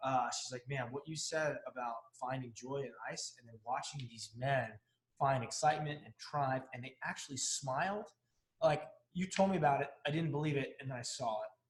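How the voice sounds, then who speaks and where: A man talks at a moderate pace in a fairly high, somewhat breathy voice with ordinary pitch variation. His loudness swings widely. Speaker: fear coach and author, former Navy bomb technician. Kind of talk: casual interview chat. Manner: quieter than the host.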